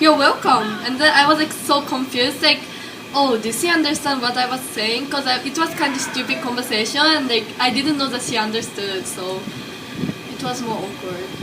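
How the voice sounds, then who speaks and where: Raising and projecting her high voice, a woman with a Japanese accent speaks at a moderate pace with ordinary pitch variation, amid noticeable background noise and audible room echo. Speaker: college student. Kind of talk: class project interview.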